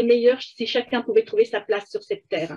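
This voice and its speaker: This woman talks at moderate speed in a high voice whose pitch shifts in a normal way. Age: 60s. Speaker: life coach. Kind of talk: interview. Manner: hesitant, many fillers.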